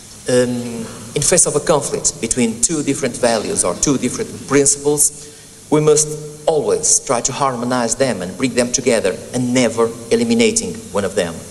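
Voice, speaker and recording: Fairly high male voice with very wide pitch swings at a moderate pace, over noticeable background noise. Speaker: legal academic speaking at a senate hearing. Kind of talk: formal presentation. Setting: senate hearing room. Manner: hesitant, many ums and self-corrections.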